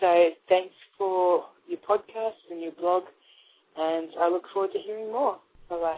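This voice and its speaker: With an Australian accent, a woman talks at a fairly slow pace and medium pitch, her intonation fairly even, her loudness swinging widely, and her speech broken by long, frequent pauses. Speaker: caller. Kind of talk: voicemail message.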